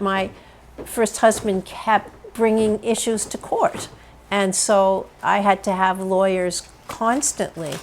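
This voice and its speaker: She speaks at a very slow pace. This woman keeps her intonation fairly even. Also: medium pitch for a woman. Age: 70s. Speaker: retired university teacher. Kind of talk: interview testimony.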